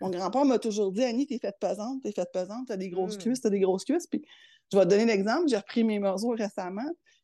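In a Quebec accent, a woman talks at a very fast pace with a fairly high pitch, ordinary pitch variation and a dark, mellow tone, the sound dry and close with no echo over a quiet background. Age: 50s. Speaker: public service manager. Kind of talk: interview.

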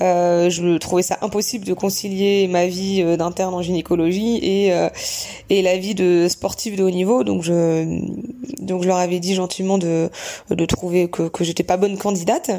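A woman speaks at a medium pitch and a fairly slow pace. Her intonation is monotone and flat, with noticeable background noise behind her. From Normandy, France (Bayeux). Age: 30s. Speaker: gynecologist and trail runner. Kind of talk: interview. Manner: halting.

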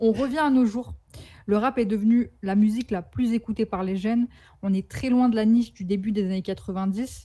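Somewhat breathy and dark, mellow in tone, a woman's fairly high voice moves at a moderate pace with fairly even intonation. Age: 20s. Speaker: photographer and rap commentator. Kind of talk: scripted narration. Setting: remote connection.

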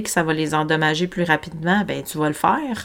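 A woman speaks with a Quebec accent. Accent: Québécois French. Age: 40s. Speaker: holistic health coach and podcast host. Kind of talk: solo podcast monologue. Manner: spontaneous, casual with fillers; animated, gesticulating.

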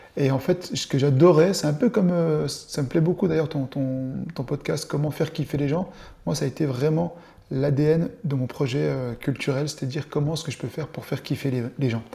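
A man with a dark, mellow, somewhat breathy tone speaks at a moderate pace, his fairly high pitch showing ordinary variation. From eastern France (Dole, Jura). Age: 40s. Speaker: show producer, entrepreneur. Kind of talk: interview, casual chat.

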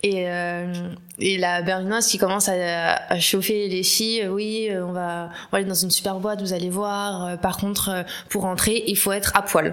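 A woman's medium-pitched, monotone, flat delivery at a fairly slow pace, with audible room echo. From Paris. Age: 20s. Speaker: communications professional. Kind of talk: casual chat.

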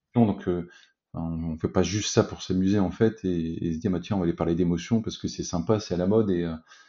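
A man's very deep, low voice moves along at a fairly quick pace. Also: fairly even intonation. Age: 40s. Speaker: business executive and company co-founder. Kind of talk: interview. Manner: halting, many repetitions and fillers.

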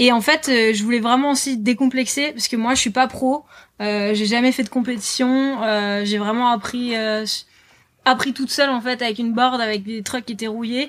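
Her pitch is high for a woman, with fairly even intonation. She keeps a moderate pace. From northern France, Lille. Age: 20s. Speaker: author and board-sports promoter. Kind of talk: casual interview. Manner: hesitant, many fillers.

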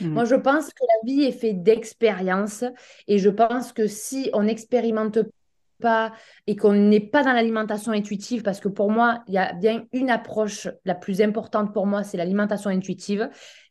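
The woman's voice sits fairly high, with fairly even intonation. The background is quiet. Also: moderate pace. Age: 30s. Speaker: naturopath. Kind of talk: casual chat. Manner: halting. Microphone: bad connection.

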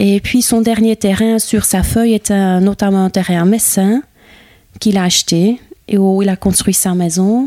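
A woman speaks at a fairly slow pace with a Flemish accent, her loudness very even and her intonation fairly even. The sound is dry and close, with no echo. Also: medium pitch for a woman. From Flanders, Campine (Herselt). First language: Dutch (Flemish) (speaking French). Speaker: Flemish woman settled in the Ardennes. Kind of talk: interview conversation. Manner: halting, many hesitations.

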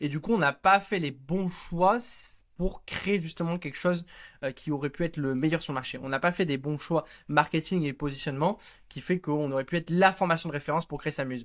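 This man has a plain, everyday voice with a fairly high pitch and ordinary pitch variation. He speaks at a fairly quick pace in a very clean recording with a silent background. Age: 20s. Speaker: startup studio co-founder. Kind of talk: interview.

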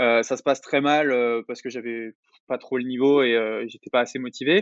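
A man's medium-pitched voice at a moderate pace. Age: 20s. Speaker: online entrepreneur and YouTuber. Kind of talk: interview.

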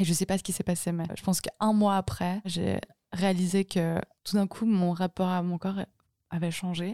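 Dark and mellow in tone, a woman's medium-pitched voice moves at a moderate pace in monotone, flat intonation. The recording is very clean, with a silent background, and the sound is dry and close with no echo. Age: 20s. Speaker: singer-songwriter. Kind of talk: casual chat.

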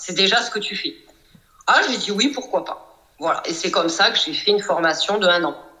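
With noticeable background noise behind her, a woman speaks at a moderate pace and medium pitch with lively intonation. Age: 40s. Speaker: psychoanalyst and coach. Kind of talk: casual interview.

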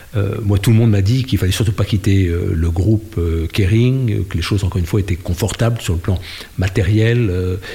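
Here a man talks in a fairly low pitch with fairly even intonation. Noticeable background noise can be heard. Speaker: NGO director and former politician. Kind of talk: interview. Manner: hesitant with fillers.

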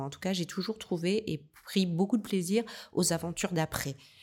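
A woman's pitch moves in an ordinary way as she speaks at a moderate speed. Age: 50s. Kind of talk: interview. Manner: halting.

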